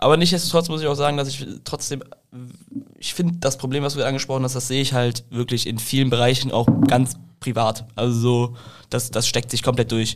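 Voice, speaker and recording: This is an ordinary speaking voice: a man at medium pitch, moving at a fairly quick pace with fairly even intonation. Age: 20s. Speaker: podcast co-host. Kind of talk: casual interview. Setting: studio.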